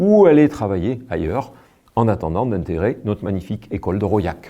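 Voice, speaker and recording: A man talks with lively intonation. His tone is dark and mellow. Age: 60s. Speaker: village mayor. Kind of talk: promotional address to camera.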